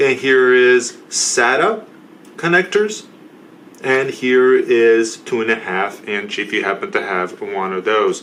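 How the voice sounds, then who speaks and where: Over noticeable background noise, a man speaks at a very slow pace and medium pitch with very wide pitch swings. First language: not English. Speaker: tech support youtuber. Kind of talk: product review tutorial.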